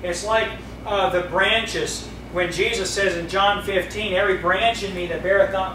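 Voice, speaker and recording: A man's high voice at a moderate pace, flat and monotone in intonation, with light background noise and audible room echo. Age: 30s. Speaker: pastor. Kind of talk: sermon. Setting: church. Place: church. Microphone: camera far.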